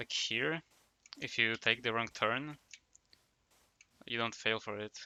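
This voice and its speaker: A fairly slow pace in a Polish accent. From Poland. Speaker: gaming streamer. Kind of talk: casual chat.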